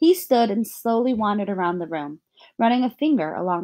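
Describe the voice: A quiet background behind plain reading aloud.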